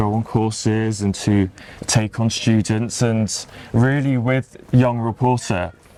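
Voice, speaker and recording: A man with a British accent talks at a fairly slow pace, his pitch medium and his intonation fairly even. Noticeable background noise runs under the recording. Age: 20s. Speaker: showbiz reporter and TV contributor. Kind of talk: podcast interview. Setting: outdoors in a park.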